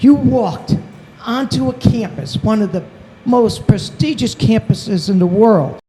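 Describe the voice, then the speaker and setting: A woman talks at a fairly slow pace. Noticeable background noise runs underneath. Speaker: summit program leader. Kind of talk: closing speech to students.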